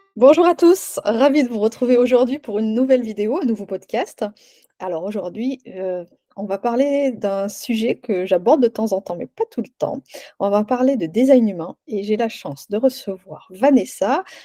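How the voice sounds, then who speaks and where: Her voice is fairly high in pitch with a dark, mellow tone and lively intonation, moving at a moderate pace in a dry, close sound with no echo. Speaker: podcast host and wellbeing coach. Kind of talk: casual interview. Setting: recorded video podcast.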